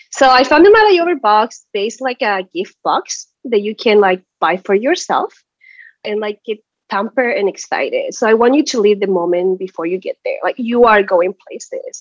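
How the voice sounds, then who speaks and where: Speaking at a moderate pace with a Spanish accent, a woman uses a fairly high pitch and lively intonation, the sound dry and close with no echo. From Chile. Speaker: small business owner. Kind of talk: advice session.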